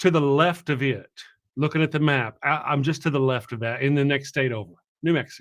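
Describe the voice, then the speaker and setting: His fairly high pitch varying in an ordinary way, a man speaks with a Texan accent. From Texas. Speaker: atheist YouTuber, show host. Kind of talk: interview, casual chat.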